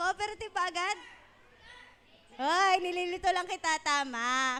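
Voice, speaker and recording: Bright and sharp, a woman's extremely high voice is raised and projected, with an animated tone, ordinary pitch variation and a moderate pace. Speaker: children's event host. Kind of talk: kids' event hosting. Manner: loud.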